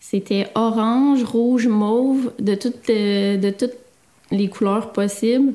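The dark, mellow tone holds a fairly even intonation on a very clean recording with a silent background. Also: woman. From Quebec, Victoriaville. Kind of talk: casual interview.

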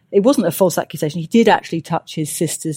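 A woman with a British accent, fairly low pitch and a dark, mellow tone, very fast pace, on a very clean recording with a silent background and a dry, close sound with no echo. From UK. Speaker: sociologist. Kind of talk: interview.

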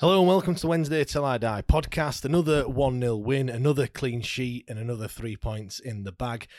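A normal speaking voice at a fairly quick pace, with ordinary pitch variation and a very clean recording over a silent background. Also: man, medium pitch for a man, hardly any pauses. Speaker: football podcast host. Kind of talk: casual football podcast chat and match review.

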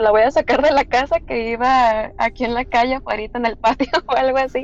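Her voice sits high in pitch, and this woman's pitch variation is ordinary. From Tijuana, Mexico. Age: 20s. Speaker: guest sharing paranormal experience. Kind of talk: testimony.

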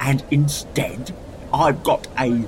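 A man speaks very slowly in a fairly high voice over clear background noise. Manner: gruff, exasperated ranting.

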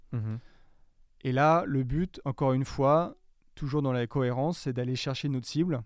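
A man's medium-pitched voice at a moderate pace, with long, frequent pauses and fairly even intonation, on a very clean recording with a silent background. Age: 30s. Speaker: digital marketing manager. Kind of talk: interview. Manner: halting.

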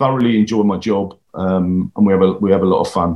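Here a man speaks with an English accent. His pace is fairly quick and his intonation fairly even. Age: 50s. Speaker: stuntman. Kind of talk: interview.

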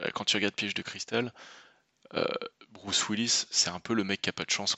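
Intonation from this man stays monotone and flat. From Normandy, France. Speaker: film critic and podcast co-host. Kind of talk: casual chat.

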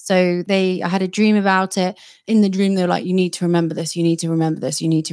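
A woman with a British accent, fairly low in pitch, very fast in pace and fairly even in intonation, on a very clean recording with a silent background. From Britain. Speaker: psychic medium and podcast host. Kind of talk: casual interview.

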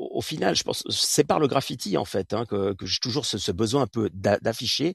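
A somewhat breathy man at medium pitch and a moderate pace, with lively intonation and a dry, close sound with no echo. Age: 40s. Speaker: artist. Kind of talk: interview. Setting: live audio room.

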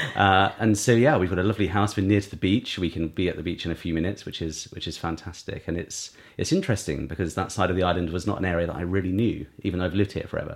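A man with a very deep, low pitch talks at a very fast pace with hardly any pauses. He has a southern English accent and ordinary pitch variation. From Isle of Wight, southern England. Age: 30s. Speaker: beauty brand founder. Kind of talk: interview.

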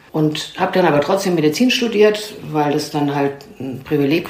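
Against noticeable background noise and audible room echo, a woman speaks with a very deep, low pitch and ordinary pitch variation. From East Germany. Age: 60s. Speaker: family therapist and clinic founder. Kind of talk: interview.

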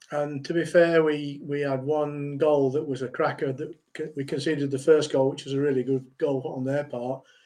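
In a fairly high pitch, a man speaks at a moderate pace with a dark, mellow tone and monotone, flat intonation. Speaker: football pundit. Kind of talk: casual panel chat.

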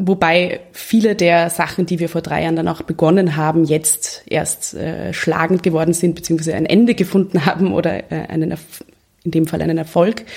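With vocal fry and fairly even intonation, a woman speaks at a moderate pace in a fairly low pitch. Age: 20s. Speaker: lawyer and women's network co-founder. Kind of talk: interview conversation.

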